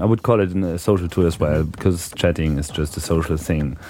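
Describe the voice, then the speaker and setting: A man with a German accent speaks in a very deep, low voice over noticeable background noise. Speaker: podcast host. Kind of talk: interview. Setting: live at a hacker conference. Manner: hesitant, many fillers.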